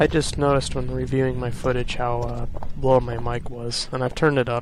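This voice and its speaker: Quiet and mumbling, a man speaks at a moderate pace in a monotone, flat intonation over noticeable background noise. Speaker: let's play gamer. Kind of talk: gameplay commentary. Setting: home recording, early morning. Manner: quiet, mumbling; halting.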